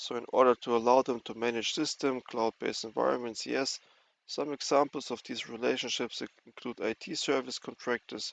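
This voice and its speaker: A man with vocal fry speaks at a medium pitch with monotone, flat intonation, recorded with a dry, close sound and no echo. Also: fairly quick pace. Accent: non-native. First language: not English. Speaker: cybersecurity educator. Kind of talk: tutorial. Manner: halting.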